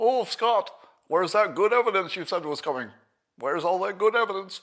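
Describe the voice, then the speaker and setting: In a very clean recording with a silent background, a man does a put-on character voice, high-pitched and fairly quick with lively intonation. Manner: mocking, taunting.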